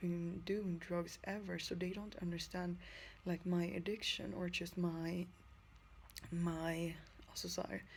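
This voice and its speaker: A woman with a non-native accent speaks fairly slowly in a flat monotone, her voice fairly low and somewhat breathy. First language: not English. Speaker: vlogger in drug recovery. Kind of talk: personal video diary. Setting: lying in bed. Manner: halting.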